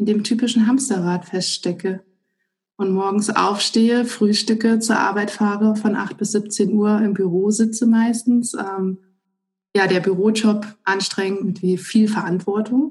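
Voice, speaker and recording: A woman of medium pitch speaks very slowly with fairly even intonation. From Germany, northern Hesse. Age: 30s. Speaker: civil servant and stress management trainer. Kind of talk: interview. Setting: remote call.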